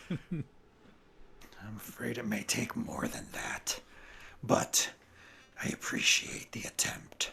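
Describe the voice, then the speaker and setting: A man whispers in a raspy, put-on character voice. His pace is very slow. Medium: actual play. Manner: subdued, reserved.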